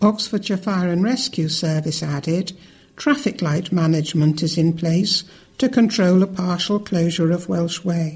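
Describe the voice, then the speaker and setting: A woman talks at a moderate pace in a somewhat breathy voice with a fairly low pitch and ordinary pitch variation. The recording is very clean with a silent background. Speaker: news reader. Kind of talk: news reading.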